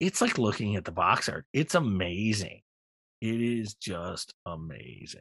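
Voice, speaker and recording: Dry and close with no echo, a man speaks in an ordinary speaking voice, fairly low in pitch, at a fairly slow pace with lively intonation. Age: 50s. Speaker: podcast co-host. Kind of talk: casual chat.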